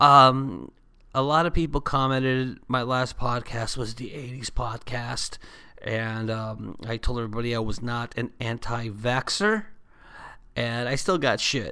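Speaking at a fairly slow pace with medium pitch and ordinary pitch variation, this man has a bright, sharp yet warm tone on a very clean recording with a silent background. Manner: warm, easygoing, casual, affectionate with listeners; congested, sick-sounding, a bit tired.

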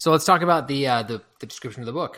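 A man with a normal speaking voice talks at a medium pitch with ordinary pitch variation, recorded very cleanly against a silent background. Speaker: podcast host. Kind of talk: casual book review discussion.

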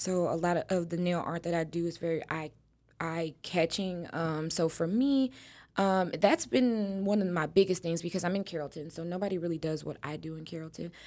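In an ordinary speaking voice with an American accent, a woman with fairly low pitch talks at a fairly quick pace, her intonation fairly even but her loudness swinging widely, on a very clean recording with a silent background. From Texas. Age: 20s. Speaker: nail technician. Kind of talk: casual chat.

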